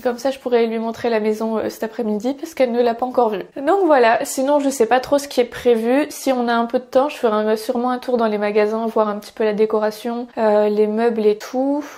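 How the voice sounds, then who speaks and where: With a dark, mellow tone and a fairly high pitch, a woman talks at a fairly quick pace with fairly even intonation and hardly any pauses. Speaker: family vlogger. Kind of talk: casual vlog talk to camera.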